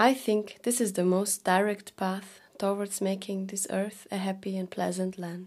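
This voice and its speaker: Using a Norwegian accent, a woman at medium pitch talks at a fairly slow pace with monotone, flat intonation and hardly any pauses. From Norway. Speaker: documentary narrator. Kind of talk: documentary narration.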